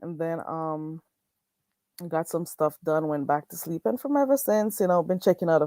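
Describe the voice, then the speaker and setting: A woman with a strong Jamaican accent speaks at a fairly low pitch with lively intonation. The sound is dry and close with no echo, recorded very cleanly over a silent background. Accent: strong Jamaican island. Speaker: livestreamer. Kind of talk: casual livestream chat. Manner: slow talking.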